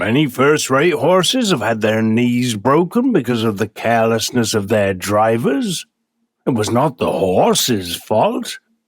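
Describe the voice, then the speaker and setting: A man puts on a character voice at medium pitch. He talks at a fairly slow pace. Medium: read story. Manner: polite, persuasive.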